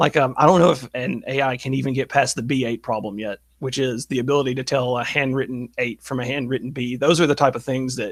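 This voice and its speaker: In a Southern US accent, the speaker goes at a very fast pace with hardly any pauses and fairly even intonation. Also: man, medium pitch for a man, very clean recording, silent background. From US South. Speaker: online political commentator. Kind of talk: interview conversation.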